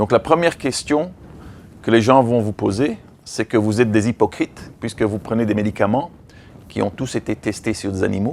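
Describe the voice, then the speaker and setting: A man with an English accent speaks at a moderate pace and medium pitch. He uses ordinary pitch variation and long, frequent pauses. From Belgium and Africa. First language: English (speaking French). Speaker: veterinarian and animal-rights association director. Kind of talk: training workshop. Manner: halting, with frequent repetitions.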